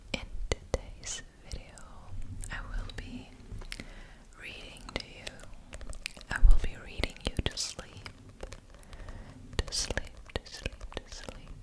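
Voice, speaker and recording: Whispering at a very slow pace with long, frequent pauses, the voice comes through noticeable background noise. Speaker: ASMR creator. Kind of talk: ASMR intro to camera. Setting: close microphone. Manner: repetitive.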